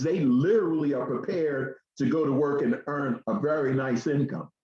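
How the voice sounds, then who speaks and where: A plain, everyday voice with lively intonation, speaking at a moderate pace. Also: man. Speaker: education program presenter. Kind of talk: radio talk show presentation.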